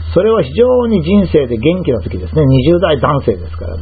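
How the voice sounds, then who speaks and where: In a room with audible echo, a man speaks fairly quickly at a medium pitch, his pitch swinging very widely. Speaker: health commentator. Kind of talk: lecture. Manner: formal.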